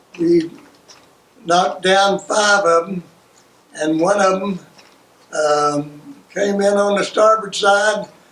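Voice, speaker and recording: A man's high voice at a very slow pace, fairly even in intonation, with long, frequent pauses. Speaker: World War II navy veteran. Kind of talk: oral history interview answer.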